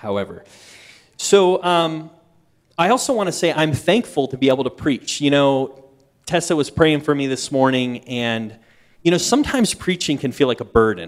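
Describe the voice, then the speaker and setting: This man's voice sits fairly high in pitch and his intonation is lively. He speaks at a moderate pace. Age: 30s. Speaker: guest preacher. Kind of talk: sermon. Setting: church service. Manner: animated.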